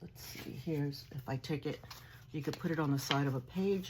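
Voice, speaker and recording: The speaker has a Long Island accent. The pitch varies in an ordinary way. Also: woman. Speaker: crafting vlogger. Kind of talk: haul video show-and-tell. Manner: animated.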